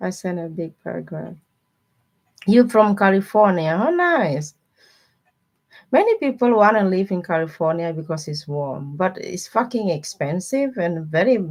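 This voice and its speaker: A woman with a non-native accent at a moderate pace, medium pitch and lively intonation, her loudness swinging widely between long, frequent pauses. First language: not English. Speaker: tarot reader livestreamer. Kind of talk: live stream chat with viewers. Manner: casual, chatty.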